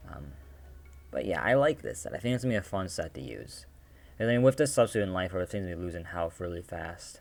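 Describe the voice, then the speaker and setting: Very fast and very deep, a man's low voice carries vocal fry and very wide pitch swings. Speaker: gaming video creator. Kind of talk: casual gaming commentary. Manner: hesitant, many fillers.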